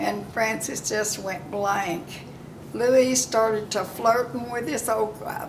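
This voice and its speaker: A woman speaks at a fairly high pitch and a fairly slow pace. Audible room echo surrounds her voice. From Oklahoma. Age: 90s. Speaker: elderly woman telling her life story. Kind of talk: oral history storytelling. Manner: halting, with many fillers.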